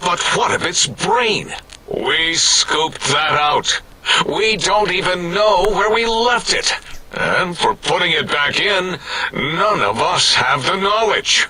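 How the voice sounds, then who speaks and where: A put-on character voice delivered at a fairly slow pace. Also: man, high pitch for a man. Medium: machinima. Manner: melodramatic.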